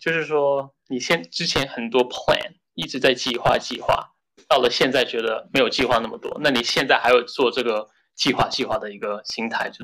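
With a bright, sharp tone, a man speaks at a medium pitch and a moderate pace, his pitch varying in an ordinary way. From Shenzhen, China, then New York from age 13. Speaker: software engineer. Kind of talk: casual chat. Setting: office meeting room.

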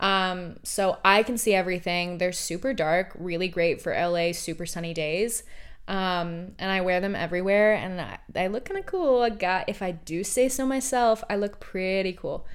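Using an animated tone, a woman with an American accent talks at a moderate pace and medium pitch, with ordinary pitch variation and hardly any pauses. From Oregon, US. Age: 20s. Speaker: podcast host. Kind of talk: casual monologue.

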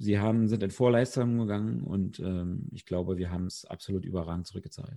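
With hardly any pauses and big swings in loudness, a man talks at a fairly quick pace in a dark, mellow tone, fairly low in pitch with ordinary pitch variation. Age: 30s. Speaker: amateur footballer. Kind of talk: podcast interview.

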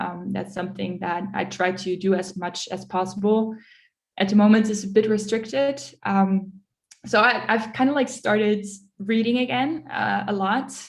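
A woman talks at a moderate pace in a somewhat breathy voice. Her medium pitch shows ordinary variation. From Netherlands, then Munich from age 11. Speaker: enterprise account manager. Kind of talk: interview.

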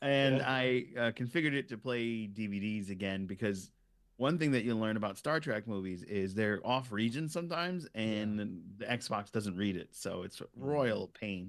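With an ordinary speaking voice and an American accent, a man talks at medium pitch and moderate pace, with lively intonation and hardly any pauses, on a very clean recording with a silent background. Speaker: YouTube Star Trek show host, guest. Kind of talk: casual chat.

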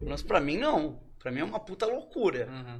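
Over a quiet background, the speaker moves at a fairly quick pace with very wide pitch swings. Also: man. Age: 30s. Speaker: NFT company co-founder. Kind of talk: casual chat. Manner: fast.

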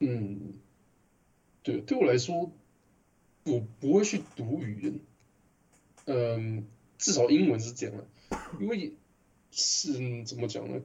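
Somewhat breathy, a man speaks at a very slow pace, leaving long, frequent pauses. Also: medium pitch for a man, lively intonation. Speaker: translator and podcast co-host. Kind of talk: casual chat.

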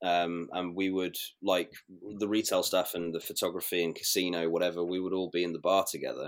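A man's very deep, low voice with a British accent, fairly quick and monotone with flat intonation, in a very clean recording with a silent background. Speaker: former cruise ship crew member. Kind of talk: casual interview chat.

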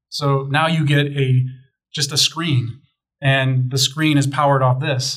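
A man's somewhat breathy voice at medium pitch, with monotone, flat intonation. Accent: American. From Chicago. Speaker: tech company sales manager. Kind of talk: casual chat.

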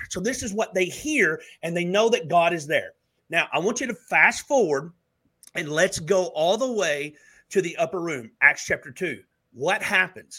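On a very clean recording with a silent background, a man with a Southern US accent speaks at a high pitch with a bright, sharp tone and lively intonation. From Alabama. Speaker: minister. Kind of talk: prophetic ministry talk.

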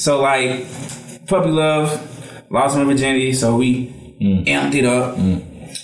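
A man's medium-pitched voice at a fairly slow pace, very even in loudness, with ordinary pitch variation and noticeable background noise. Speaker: podcast co-host. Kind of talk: casual chat.

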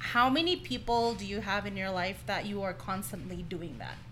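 With a slight non-native accent, a woman at a medium pitch talks at a moderate pace, using lively intonation, a bright, sharp tone and some vocal fry. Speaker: podcast host. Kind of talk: casual chat.

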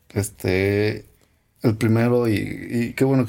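The speaker is a man. He has a dark, mellow tone. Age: young. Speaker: podcast co-host. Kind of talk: casual chat.

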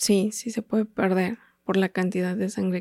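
In a central Mexican accent, the speaker talks at a fairly slow pace with monotone, flat intonation on a very clean recording with a silent background. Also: woman, dry, close sound with no echo. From Mexico, State of Mexico. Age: 30s. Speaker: patient with a rare disease. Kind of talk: testimony. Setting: studio.

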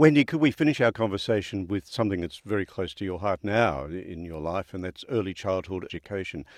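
With an Australian accent, a man talks very fast at a fairly low pitch, his intonation lively and his loudness swinging widely, in a dry, close sound with no echo. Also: hardly any pauses. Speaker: podcast host. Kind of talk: interview.

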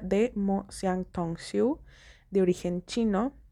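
Heard on a very clean recording with a silent background, a woman speaks at medium pitch. Her tone is dark and mellow, with ordinary pitch variation. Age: 20s. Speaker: podcast host. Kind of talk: casual monologue.

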